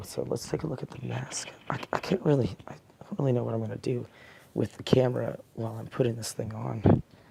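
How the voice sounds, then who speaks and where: This put-on character voice is raspy and quiet. It moves at a fairly quick pace. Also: man, medium pitch for a man. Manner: quiet, hushed.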